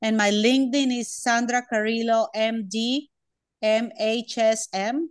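Against a quiet background, the words come out fairly slowly. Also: woman, fairly high pitch for a woman, fairly even intonation. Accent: Spanish. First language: Spanish. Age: 40s. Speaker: doctor. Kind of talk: interview. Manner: halting.

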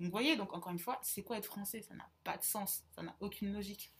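A somewhat breathy, medium-pitched woman's voice at a fairly quick pace. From central France, small town. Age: 20s. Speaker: podcast co-host, student. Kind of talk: casual chat.

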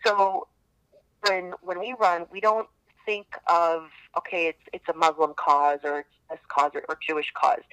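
Dry and close with no echo, a woman with a Chicago accent speaks at a fairly slow pace and fairly low pitch, her bright, sharp tone showing ordinary pitch variation and big swings in loudness. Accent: Chicago American. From Chicago, Palestinian-American family. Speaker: charity running team captain. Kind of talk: podcast interview.

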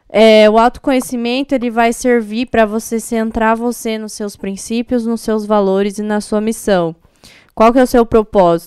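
A woman at a fairly high pitch and moderate pace, with fairly even intonation. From Paraná, Brazil (Paranavaí). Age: 20s. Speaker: DJ. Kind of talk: interview.

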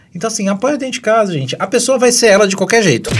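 An animated tone amid noticeable background noise. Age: 30s. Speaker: podcast co-host. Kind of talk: casual chat.

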